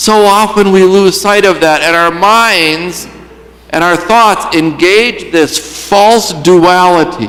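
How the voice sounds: The speaker uses a natural reading voice. It sounds like a natural reading voice throughout.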